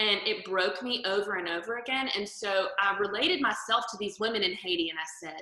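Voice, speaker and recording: A woman with a Southern US accent, medium pitch and ordinary pitch variation, talking at a fairly quick pace with hardly any pauses. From US South. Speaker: interior photographer and stylist. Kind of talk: interview testimony.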